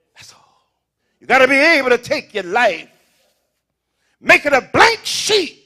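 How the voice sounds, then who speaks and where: The voice is bright and sharp in tone and animated, with very wide pitch swings, big swings in loudness, a fairly slow pace and long, frequent pauses. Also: man, extremely high pitch for a man. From US South. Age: 70s. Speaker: pastor. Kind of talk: sermon.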